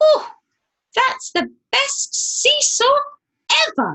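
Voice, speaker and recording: Extremely high-pitched, this female-sounding voice is a put-on character. It moves at a very slow pace. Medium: read story. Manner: bright, eager.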